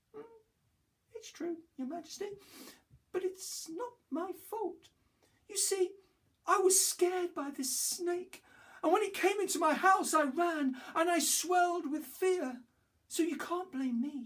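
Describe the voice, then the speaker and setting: An extremely high-pitched, put-on character voice moves at a fairly slow pace. Long pauses come often. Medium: read story. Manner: anxious, defensive.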